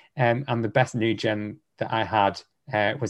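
Against a quiet background, a man with a Lancashire accent talks fairly slowly, his fairly low pitch held to a fairly even intonation. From northern England, Lancashire (near Preston). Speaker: social media personality and podcaster. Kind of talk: casual interview chat. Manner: hesitant, many fillers and restarts.

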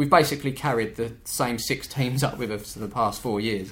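Audible room echo surrounds a man of medium pitch speaking with ordinary pitch variation. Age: 30s. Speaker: YouTuber running an amateur football team. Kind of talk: casual chat.

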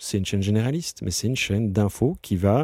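A man speaks in a fairly low voice with a dark, mellow tone and ordinary pitch variation. The recording is very clean, with a silent background. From Brussels, Belgium. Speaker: business executive. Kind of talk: interview. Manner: halting, many repetitions.

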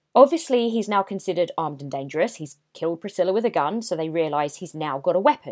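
The recording is very clean and the background silent. Pitch moves in very wide swings. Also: woman. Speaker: true crime podcast host. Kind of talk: true-crime narration. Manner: conversational storyteller, personal asides; grave, suspenseful, measured.

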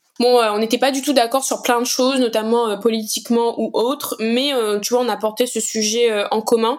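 Over noticeable background noise, a woman speaks at a moderate pace with hardly any pauses, a fairly high pitch and monotone, flat intonation. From Réunion, east (Saint-Benoît). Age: 20s. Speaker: activist, association co-founder. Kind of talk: interview conversation. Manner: hesitant, many fillers.

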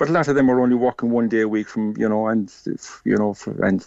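A man with a Cork accent speaks at a medium pitch in a flat monotone, recorded dry and close with no echo against a quiet background. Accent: Cork Irish. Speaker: shop owner. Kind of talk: radio interview.

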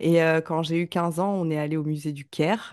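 Speech comes at a moderate pace against a quiet background, with a dry, close sound and no echo. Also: woman. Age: 30s. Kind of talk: casual interview chat. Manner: hesitant, many fillers.

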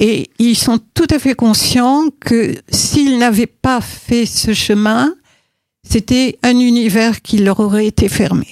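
At a very slow pace, a woman speaks with a fairly high pitch, ordinary pitch variation and very even loudness, the sound dry and close with no echo. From Morocco. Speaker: choir conductor and music teacher. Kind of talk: interview. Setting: studio. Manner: halting.

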